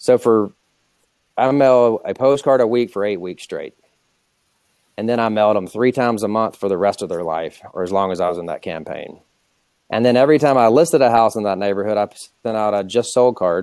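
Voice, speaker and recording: A man's medium-pitched voice at a fairly quick pace, broken by long, frequent pauses, with ordinary pitch variation, a quiet background and a dry sound with no echo. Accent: American. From US South, Atlanta, Georgia. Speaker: real estate company founder. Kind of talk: interview on webinar. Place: office. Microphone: earbuds.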